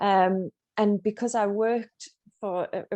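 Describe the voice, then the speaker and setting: A woman speaks with a North East England accent in a flat, monotone way. Her tone is dark and mellow, and the sound is dry and close with no echo. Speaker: running coach and author. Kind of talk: interview.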